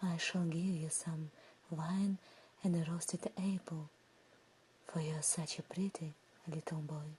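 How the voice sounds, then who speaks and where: Whispering and soft-spoken, a woman leaves long, frequent pauses. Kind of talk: ASMR fairy tale sleep story. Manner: soft, whispered.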